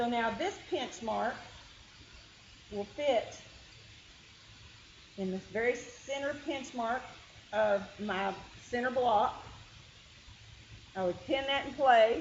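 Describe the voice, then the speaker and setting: With a Kentucky accent, a woman talks in a high pitch at a very slow pace, her intonation lively and her speech marked by long, frequent pauses over noticeable background noise. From Kentucky hills. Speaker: quilting teacher. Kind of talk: tutorial. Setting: meeting room with group.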